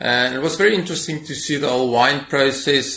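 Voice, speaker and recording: With noticeable noise in the background, a man talks using ordinary pitch variation. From South Africa, Free State (Bloemfontein). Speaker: winemaker. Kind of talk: interview. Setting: video call.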